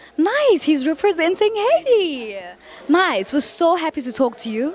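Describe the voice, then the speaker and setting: Extremely high-pitched female speech with very wide pitch swings at a fairly slow pace, set against noticeable background noise. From South Africa. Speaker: red carpet interviewer. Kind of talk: red carpet interview. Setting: red carpet at gala event.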